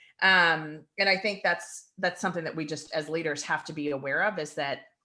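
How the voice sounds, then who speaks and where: Loud and animated, the voice has a bright, sharp tone and ordinary pitch variation against a quiet background. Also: woman. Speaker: podcast co-host. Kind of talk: casual chat.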